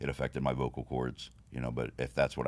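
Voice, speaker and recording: A man with a very deep, low voice talks at a very fast pace over noticeable background noise. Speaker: bodybuilding competitor and trophy business owner. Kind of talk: casual interview.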